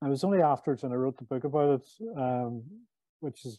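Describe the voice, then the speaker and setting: A man speaks with a Northern Irish accent. His pace is very fast. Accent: Northern Irish (Belfast). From Belfast, Northern Ireland. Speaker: author and former sales executive. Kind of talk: casual interview conversation.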